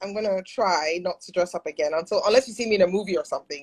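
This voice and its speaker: Speaking at a very fast pace, a woman uses a medium pitch with ordinary variation. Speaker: actress. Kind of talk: casual chat. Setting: live video stream. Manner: fast when nervous.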